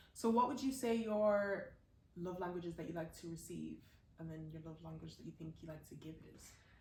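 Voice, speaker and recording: A woman with a fairly low pitch talks at a fairly quick pace, somewhat breathy, with ordinary pitch variation, big swings in loudness and audible room echo. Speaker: podcast co-host. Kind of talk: casual chat.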